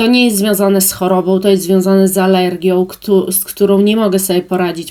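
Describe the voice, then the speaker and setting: A woman speaks at a medium pitch in a flat, monotone way. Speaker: beauty and perfume vlogger. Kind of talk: product review monologue. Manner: hesitant with many fillers.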